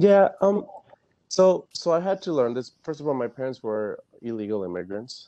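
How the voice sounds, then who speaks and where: This man's voice has a dark, mellow tone and a fairly high pitch, with a slight Spanish accent. His pitch swings very widely. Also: moderate pace. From Fairfax, Virginia, US. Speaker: panel guest. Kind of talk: panel discussion. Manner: halting, many fillers.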